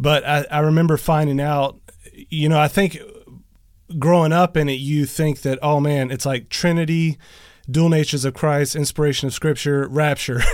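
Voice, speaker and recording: In a plain, everyday voice, a man with a fairly high pitch speaks at a moderate pace. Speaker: podcast host. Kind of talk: casual interview. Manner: excitable.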